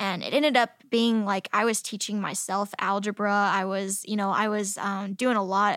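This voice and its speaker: In a very clean recording with a silent background, a woman speaks with an unremarkable speaking voice at a medium pitch. Her pace is moderate, her intonation fairly even, with hardly any pauses. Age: 20s. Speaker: ninja competitor and former gymnastics coach. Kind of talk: interview.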